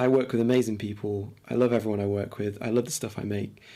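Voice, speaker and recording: Speaking in an East Midlands accent, a man talks at a very fast pace with a fairly low pitch, a dark, mellow tone and fairly even intonation. The recording is very clean, with a silent background. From England, Lincoln. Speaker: podcast co-host. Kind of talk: casual chat.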